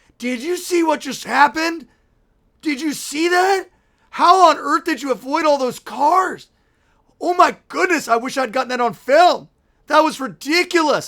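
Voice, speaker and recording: Putting on a character voice, the speaker uses a high pitch at a moderate pace. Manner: excited, amazed.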